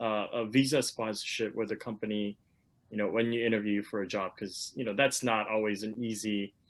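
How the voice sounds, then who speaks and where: Here a man speaks at a moderate pace. His voice sits at a medium pitch. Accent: Korean. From South Korea. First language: Korean. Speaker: webinar moderator, lawyer. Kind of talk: panel discussion. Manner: halting, many fillers and repetitions.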